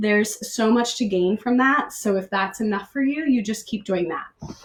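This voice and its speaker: A woman's fairly high voice with ordinary pitch variation. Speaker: pilates instructor. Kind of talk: fitness class instruction. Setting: livestream from home. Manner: loud; animated.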